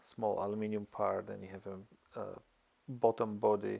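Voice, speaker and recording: A man with a non-native accent at a fairly slow pace, in a very clean recording with a silent background. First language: not English. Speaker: amateur motorcycle mechanic, tutorial maker. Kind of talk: tutorial. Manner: halting, many fillers.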